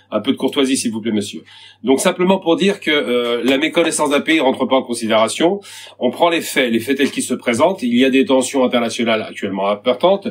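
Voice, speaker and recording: A man at medium pitch and a fairly quick pace, with lively intonation. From Algeria. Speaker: activist debater. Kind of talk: heated debate. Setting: video call. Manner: fast.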